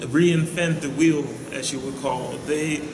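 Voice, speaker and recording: Noticeable background noise and audible room echo surround a man's voice. He speaks at a fairly high pitch with fairly even intonation. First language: Dutch. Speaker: vlogger. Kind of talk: casual vlog monologue.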